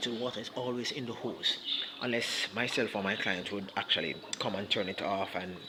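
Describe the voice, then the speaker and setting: A man talks at a fairly quick pace in a medium-pitched voice. There is noticeable background noise. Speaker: aquarium hobbyist and aquarium service provider. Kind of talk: casual video walkthrough. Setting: client's home, on the job. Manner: soft-spoken; hesitant, many fillers.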